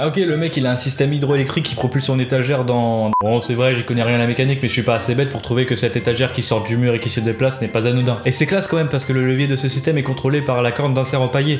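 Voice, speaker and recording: Over noticeable background noise, a man talks at a very fast pace with hardly any pauses, a medium pitch, fairly even intonation and very even loudness. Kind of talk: comedic parody commentary. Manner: casual, joking.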